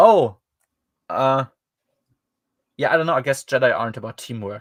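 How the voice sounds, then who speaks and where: A man with a German accent, medium pitch, moderate pace and big swings in loudness, in a very clean, dry, close recording with no echo and a silent background. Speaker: podcast host reviewing books. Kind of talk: casual chat. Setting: livestream. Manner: hesitant, many fillers.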